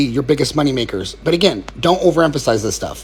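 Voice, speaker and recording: The pace is very fast. Vocal fry runs through the voice. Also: man. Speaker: fitness coach. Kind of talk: Q&A video answering viewer questions. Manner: casual.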